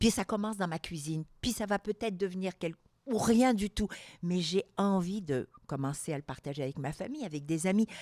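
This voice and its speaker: A woman speaks in an animated tone at a medium pitch, her intonation lively. The recording is very clean with a silent background and a dry, close sound with no echo. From Algeria. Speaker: entrepreneur and public speaker. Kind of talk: interview conversation. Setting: studio.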